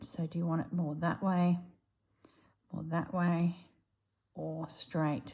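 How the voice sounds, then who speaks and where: A woman with a rural Australian accent speaks with a fairly low pitch and a dark, mellow tone. She is somewhat breathy and talks at a fairly slow pace. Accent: Australian, country drawl. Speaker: embroidery artist. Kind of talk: casual chat; craft tutorial. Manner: casual, chatty.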